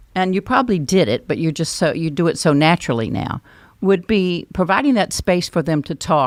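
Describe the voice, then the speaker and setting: Speaking at a moderate pace, a woman with a North Carolina accent has a fairly low pitch, captured in a dry, close sound with no echo. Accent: Southern US (North Carolina). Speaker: podcast host, education expert. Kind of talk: podcast interview and sign-off.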